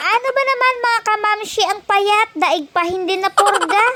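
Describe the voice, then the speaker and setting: Over noticeable background noise, a woman speaks in a raised, projected voice at an extremely high pitch. Her intonation is lively and her pace moderate. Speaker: vlogger. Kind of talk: voice-over narration. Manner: animated.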